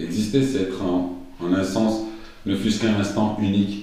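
A man with a fairly low pitch speaks at a fairly slow pace over noticeable background noise. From Brussels, Belgium. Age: 30s. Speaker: TV producer and sneaker customizer. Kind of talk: interview. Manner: animated.

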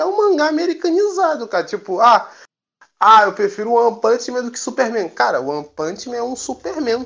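Speaking at an extremely high pitch, a man makes very wide pitch swings. His pace is moderate. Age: 20s. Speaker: podcaster. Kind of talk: casual chat.

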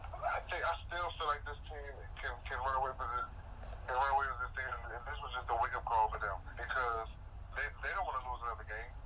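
A man with an American accent at a fairly quick pace, over noticeable background noise. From DMV area, US. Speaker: sports commentator co-host.

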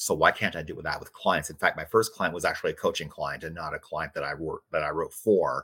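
On a very clean recording with a silent background, a man talks in an American accent. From US Midwest. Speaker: author and radio host. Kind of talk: casual interview.

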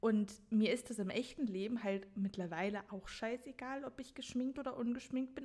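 A woman's fairly quick, fairly high-pitched delivery, an unremarkable speaking voice with ordinary pitch variation. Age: 20s. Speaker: podcast host and author. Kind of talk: casual chat.

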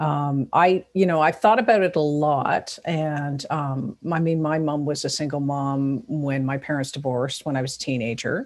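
Hardly pausing, the voice moves at a moderate pace with a Toronto accent and ordinary pitch variation in a very clean recording with a silent background. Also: woman, very deep, low pitch for a woman. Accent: Canadian, Toronto. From Toronto, Canada. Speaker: podcast host. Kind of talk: casual interview chat.

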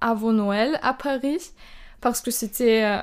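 A woman with a German accent speaks at a very slow pace and a fairly high pitch, with ordinary pitch variation. The recording is very clean, with a silent background. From Austria, Burgenland. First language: German (speaking French). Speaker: exchange student. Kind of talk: casual interview.

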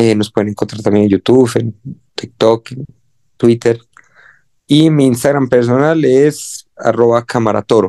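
Speaking at a fairly slow pace, a man leaves long, frequent pauses in a dark, mellow tone. His intonation is fairly even, and the sound is dry and close with no echo. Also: medium pitch for a man. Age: 20s. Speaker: musician and music producer. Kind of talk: casual interview.

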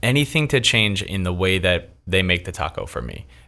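Over a very clean recording with a silent background, a man in an American accent uses a fairly low pitch with very wide pitch swings, vocal fry and a bright, sharp tone. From Philadelphia, US East Coast. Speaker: taco reviewer and restaurant manager. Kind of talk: casual interview chat. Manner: animated.

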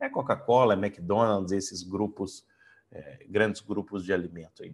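In a normal speaking voice, a man talks at a moderate pace with a fairly low pitch against a quiet background. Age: 40s. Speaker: coach and trainer. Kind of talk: online lecture.

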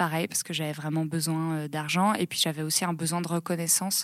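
A woman with a fairly low pitch speaks at a moderate pace in a flat monotone, on a very clean recording with a silent background. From rural France, Seine-et-Marne. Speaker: founder of a training organisation. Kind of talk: interview. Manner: hesitant, many fillers.

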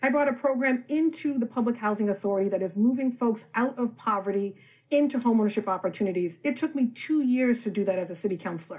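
Speaking with an American accent, a woman talks at a very fast pace in a fairly high voice with lively intonation, on a very clean recording with a silent background. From Boston, Roxbury. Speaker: city councillor. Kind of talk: political debate.

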